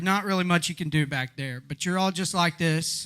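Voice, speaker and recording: With an American accent, a man talks in a high pitch, his tone bright and sharp and his pitch variation ordinary. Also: very clean recording, silent background. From East Texas. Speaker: stand-up comedian. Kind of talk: stand-up comedy set to a live crowd.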